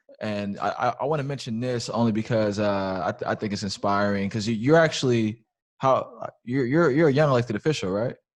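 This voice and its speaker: A man with an ordinary speaking voice, medium pitch and ordinary pitch variation, at a fairly quick pace against a quiet background. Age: 30s. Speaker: podcast host, former elected official. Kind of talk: interview.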